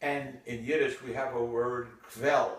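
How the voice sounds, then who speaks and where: Fairly slow male speech with audible room echo. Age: 80s+. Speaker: retired urologist. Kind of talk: casual monologue. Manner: reflective.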